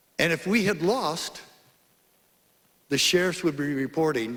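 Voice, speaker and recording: Vocal fry runs through the man's voice. His pitch moves over a very wide range. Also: long, frequent pauses. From Arizona. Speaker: former sheriff, public speaker. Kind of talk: conference speech. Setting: stage with audience. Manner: animated.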